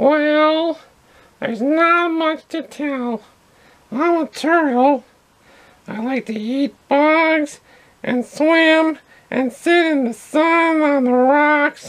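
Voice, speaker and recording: This cartoonish character voice sits high in pitch. It moves at a very slow pace, broken by long, frequent pauses. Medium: puppet. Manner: grumpy, indignant.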